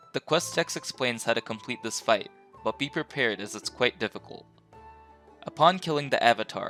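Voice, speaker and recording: Music runs behind a man speaking at a fairly quick pace. His voice is medium in pitch with ordinary variation. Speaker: game guide creator. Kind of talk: video game guide narration.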